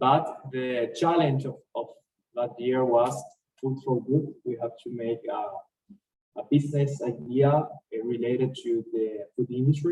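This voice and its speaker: Somewhat breathy and dark, mellow in tone, the voice moves at a fairly slow pace with fairly even intonation. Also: man. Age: 20s. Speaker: university graduate, startup co-founder. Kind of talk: interview. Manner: halting.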